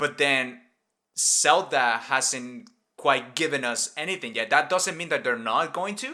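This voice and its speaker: A man with a Spanish accent talks at a moderate pace in a fairly high voice with a bright, sharp tone. His pitch varies in an ordinary way, and the recording is very clean with a silent background. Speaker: gaming podcast host. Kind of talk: casual chat.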